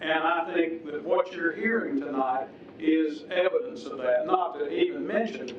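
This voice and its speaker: A man in an upstate South Carolina accent speaks fairly slowly with a high pitch. Audible room echo and noticeable background noise fill the recording. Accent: Southern US (upstate South Carolina). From US South. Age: 60s. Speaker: public commenter at council meeting. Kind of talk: public comment at city council hearing. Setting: city council chamber. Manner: formal.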